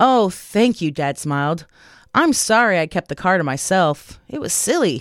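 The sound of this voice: The recording has an unforced reading voice with lively intonation.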